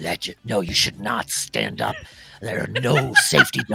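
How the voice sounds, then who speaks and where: The voice is a growling, put-on character voice. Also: man, medium pitch for a man, moderate pace. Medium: actual play. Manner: formal, earnest.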